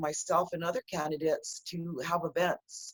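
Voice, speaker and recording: A woman with an unremarkable speaking voice keeps to a fairly low pitch and a moderate pace. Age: 60s. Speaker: political candidate. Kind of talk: interview.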